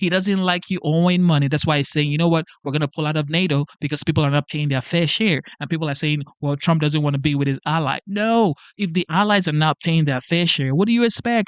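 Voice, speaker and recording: Talking at a very fast pace with hardly any pauses, a man has a fairly high pitch, ordinary pitch variation and an animated tone. The sound is dry and close, with no echo. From Nigeria. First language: a Nigerian language. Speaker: political live streamer. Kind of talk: casual live stream monologue.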